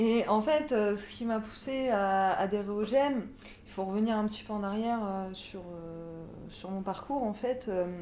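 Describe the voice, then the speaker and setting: In a dark, mellow tone with a fairly high pitch, a woman speaks at a fairly slow pace amid audible room echo. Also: ordinary pitch variation. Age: 20s. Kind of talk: interview testimony. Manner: halting, many hesitations.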